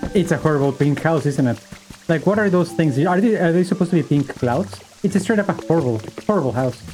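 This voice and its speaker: Over noticeable background noise, a man talks at a very fast pace and fairly high pitch, his intonation lively and his loudness very even. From Bolivia. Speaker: streamer. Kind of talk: casual chat. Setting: live stream.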